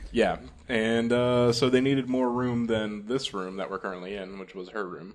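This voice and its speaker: A man with an ordinary speaking voice, medium pitch, moderate pace and big swings in loudness. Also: fairly even intonation. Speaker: podcast host. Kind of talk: casual chat. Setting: new home studio room. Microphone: echoey room sound.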